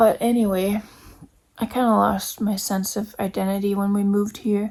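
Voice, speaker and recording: A woman's somewhat breathy voice with monotone, flat intonation. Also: medium pitch for a woman, moderate pace. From Denmark. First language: Danish. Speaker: YouTuber. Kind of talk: personal vlog monologue. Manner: reflective.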